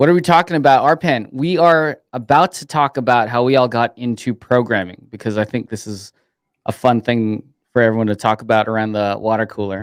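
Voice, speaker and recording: A man talks in an ordinary speaking voice at a medium pitch, with ordinary pitch variation. The recording is very clean with a silent background and a dry, close sound with no echo. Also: fairly quick pace. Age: 30s. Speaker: developer advocate, co-host. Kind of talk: casual chat.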